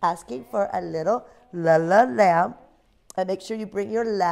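Someone does plain reading aloud, and the pitch shifts in an ordinary way.

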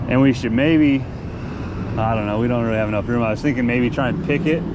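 Loud background noise accompanies a dry sound with no echo. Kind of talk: casual work narration and planning. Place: street. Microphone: phone near.

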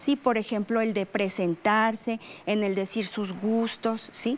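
A woman is speaking. Her pace is fairly slow. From Coahuila, Mexico. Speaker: English teacher. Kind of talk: interview. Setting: studio. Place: studio. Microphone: lapel.

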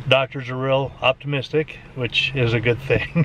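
A male voice in a dry recording with no echo, over noticeable background noise. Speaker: lifestyle vlogger. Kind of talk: casual vlog. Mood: calm, hopeful waiting. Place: car. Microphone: phone near.

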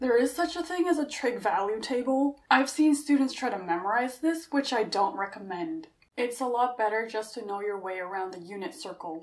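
A woman's high voice with very wide pitch swings, a moderate pace and hardly any pauses over a quiet background. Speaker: math tutor reviewing apps. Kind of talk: tutorial review commentary. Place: home room.

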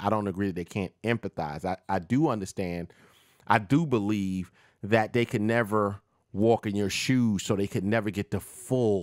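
The speech comes at a moderate pace with ordinary pitch variation. The background is quiet and the sound is dry with no echo. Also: man. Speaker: podcast host. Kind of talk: opinion commentary talk show. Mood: opinionated, animated. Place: home room. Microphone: studio mic.

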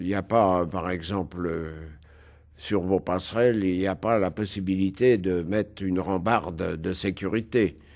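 A man speaks at a fairly slow pace with a very deep, low pitch. His intonation stays fairly even, and the background is quiet. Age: old. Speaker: film set designer. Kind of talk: interview. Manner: hesitant.

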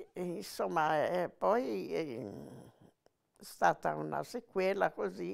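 A woman speaking at a very slow pace, with long, frequent pauses against a quiet background. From Genoa, Italy; Italy. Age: 80s+. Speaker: former partisan; witness. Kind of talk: testimony; interview answer. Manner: halting. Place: home room. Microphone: lapel.

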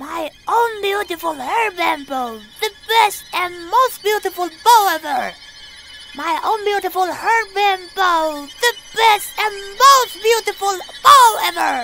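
A cartoonish character voice at an extremely high pitch and a fairly slow pace. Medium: puppet.

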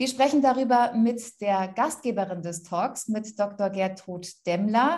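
Her pace is fairly slow. The woman's voice is somewhat breathy. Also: quiet background. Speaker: moderator. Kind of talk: moderated talk. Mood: friendly, calm, professional.

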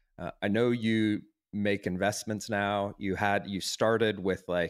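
This man has a plain, everyday voice with a fairly low pitch. He speaks at a fairly slow pace with fairly even intonation. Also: very clean recording, silent background. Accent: American. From half American, half German. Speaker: podcast co-host. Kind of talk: interview.

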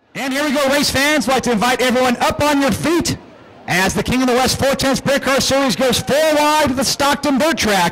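With noticeable background noise, a man speaks at a moderate pace in an extremely high pitch. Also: ordinary pitch variation, very even loudness. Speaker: race announcer. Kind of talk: live race call, play-by-play over a sprint car race. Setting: track PA system at a dirt track.

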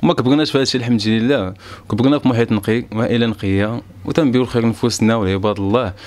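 The speaker is a man with a medium pitch. His intonation is fairly even. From Morocco, Marrakech; Morocco. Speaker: rapper; news interviewee. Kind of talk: statement to camera. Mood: earnest, defensive explanation. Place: home room. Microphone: handheld.

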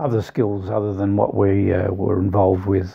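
A man with an Australian accent, faint music in the background. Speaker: retiree and computer tutor. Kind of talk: interview answer. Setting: video call. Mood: warm, relaxed reminiscing. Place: home room.

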